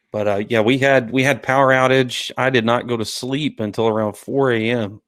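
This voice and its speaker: In a very clean recording with a silent background, a man with a Southern US accent speaks at medium pitch in a monotone, flat intonation. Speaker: podcast host. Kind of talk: casual chat.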